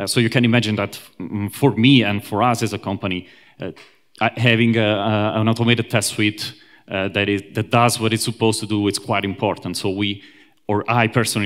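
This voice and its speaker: In a very clean recording with a silent background, a man with an Italian accent talks at a fairly quick pace, his pitch fairly low and his intonation fairly even. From Italy, Rome. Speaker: software engineer, conference speaker. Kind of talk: conference talk. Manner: hesitant, many fillers.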